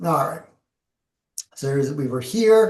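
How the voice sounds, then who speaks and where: The speaker is a man. He uses ordinary pitch variation. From Canada. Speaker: professional speaker and presenter. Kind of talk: webinar presentation with Q&A. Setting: video call, LinkedIn Live. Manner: fast.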